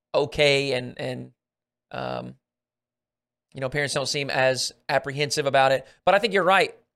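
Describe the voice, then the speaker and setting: A man with an American accent at a moderate pace, in a very clean recording with a silent background. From Arkansas, US South. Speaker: podcast host. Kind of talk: casual interview chat.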